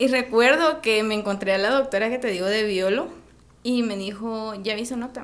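Noticeable background noise and audible room echo surround this recording. A woman speaks at a moderate pace. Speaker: medical student. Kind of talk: casual interview.

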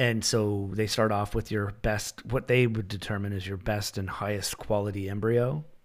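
A man with a Canadian accent and a plain, everyday voice speaks at a moderate pace with hardly any pauses. His pitch is fairly low, his intonation fairly even, and the recording very clean with a silent background. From Canada. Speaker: podcast host. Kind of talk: casual interview conversation.

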